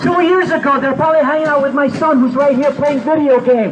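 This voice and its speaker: Amid crowd noise and audible room echo, a man speaks fairly quickly at an extremely high pitch with ordinary pitch variation. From Puerto Rico. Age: 60s. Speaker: war veteran. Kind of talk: rally speech. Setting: outdoors.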